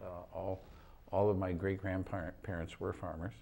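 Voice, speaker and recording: In an American accent, a man with a very deep, low pitch and a dark, mellow tone talks at a moderate pace with fairly even intonation. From US Midwest, Battle Creek, Michigan. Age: 60s. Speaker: political activist. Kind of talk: talk show interview.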